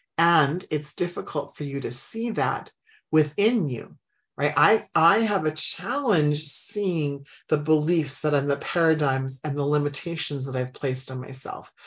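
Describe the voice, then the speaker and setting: Warm and enthusiastic, a woman speaks at a fairly slow pace. Her pitch is very deep and low, with ordinary variation. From Saskatchewan, Canada. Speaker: business coach and podcast host. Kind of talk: casual chat, live radio podcast monologue. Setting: studio. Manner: warm, enthusiastic.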